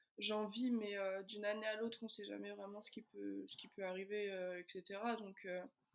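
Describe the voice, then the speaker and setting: A woman speaks at medium pitch and a fairly quick pace with monotone, flat intonation. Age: 20s. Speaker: professional basketball player. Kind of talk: interview. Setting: podcast. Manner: hesitant, many fillers.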